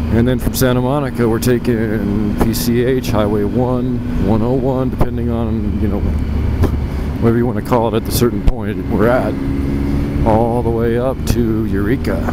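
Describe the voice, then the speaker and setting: Against loud background noise, the speech comes at a moderate pace with a dry sound and no echo. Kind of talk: casual vlog chat. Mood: relaxed, looking forward. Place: motorbike. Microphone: helmet.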